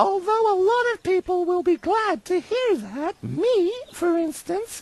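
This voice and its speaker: A woman's put-on character voice, extremely high and squeaky, with lively intonation at a fairly slow pace, in a dry, close sound with no echo. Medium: video game. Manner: snippy, bureaucratic.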